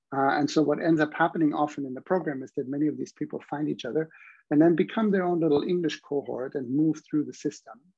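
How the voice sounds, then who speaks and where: Speaking very fast with a German accent, a man uses a fairly high pitch and fairly even intonation. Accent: non-native, audible German. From Germany. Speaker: university professor. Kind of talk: online information session presentation.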